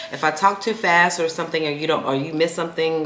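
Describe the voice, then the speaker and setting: The speech moves at a fairly quick pace. Audible room echo and noticeable background noise fill the recording. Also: woman. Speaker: podcast host. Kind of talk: casual solo podcast talk. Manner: fast when engaged.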